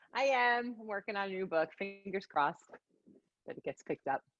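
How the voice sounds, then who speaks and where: Over music in the background, a woman with a New York accent speaks at a fairly quick pace in an animated tone, her medium pitch swinging very widely, with a dry, close sound and no echo. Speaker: psychic medium. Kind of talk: casual interview chat. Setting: live session with audience.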